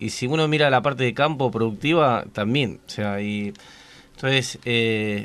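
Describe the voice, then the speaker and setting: A man speaks at a moderate pace in an unremarkable speaking voice, his pitch in the medium range. The pitch rises and falls in an ordinary way. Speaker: radio co-host and businessman. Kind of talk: casual chat. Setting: radio studio.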